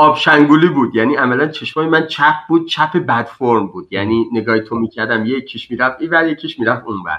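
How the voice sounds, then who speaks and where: At a fairly quick pace, a man speaks with a bright, sharp tone. His pitch is medium, with ordinary variation. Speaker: refugee. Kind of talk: casual chat.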